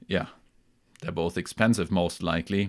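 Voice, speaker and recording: A man speaks with a German accent in a relaxed tone, his pitch fairly low. The recording is very clean, the background silent. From Germany, near Hamburg. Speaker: music gear YouTuber. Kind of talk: live stream chat. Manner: relaxed, with many fillers.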